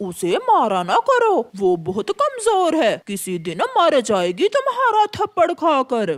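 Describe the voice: A cartoonish character voice, high in pitch, at a fairly slow pace with hardly any pauses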